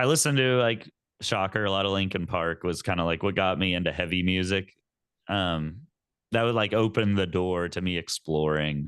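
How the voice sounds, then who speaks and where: Speaking at a moderate pace with an American accent, a man uses a very deep, low pitch and ordinary pitch variation against a quiet background. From Texas. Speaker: metal band vocalist. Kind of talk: interview.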